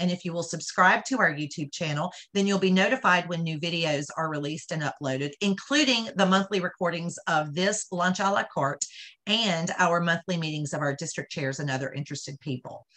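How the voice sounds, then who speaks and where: The background stays quiet. A woman speaks fairly quickly, her pitch varying in an ordinary way. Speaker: charity event host. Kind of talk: announcements and introduction. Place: home room. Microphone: video call.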